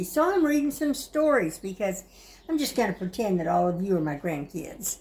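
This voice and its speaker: Her voice is somewhat breathy, sitting at medium pitch for a woman. She moves at a moderate pace with very wide pitch swings. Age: 70s. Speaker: grandmother reading stories. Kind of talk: casual talk to camera.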